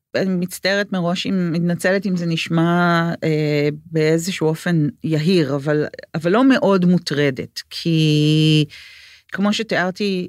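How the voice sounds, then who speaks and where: In a very clean recording with a silent background, a woman speaks at a fairly slow pace in a plain, everyday voice, fairly low in pitch with ordinary pitch variation. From Israel, Jerusalem. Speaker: book and script editor. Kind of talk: interview conversation.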